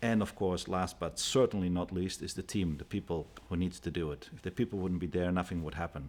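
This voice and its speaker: This man has a very deep, low voice with a Dutch accent and fairly even intonation. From Netherlands. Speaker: company CEO. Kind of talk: TV interview.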